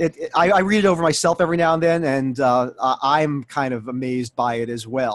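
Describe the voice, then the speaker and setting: At a fairly quick pace with hardly any pauses, a man speaks in a plain, everyday voice, fairly high in pitch with ordinary pitch variation. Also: dry, close sound with no echo. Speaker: voice director and voiceover coach. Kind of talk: interview answer.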